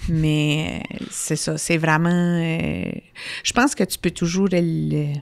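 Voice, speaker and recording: Speaking at a very slow pace, a woman talks with a New Brunswick accent. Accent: Brayon (Madawaska New Brunswick French). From Madawaska region, northwest New Brunswick (Brayon Acadian). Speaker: hospital foundation director. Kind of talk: interview conversation.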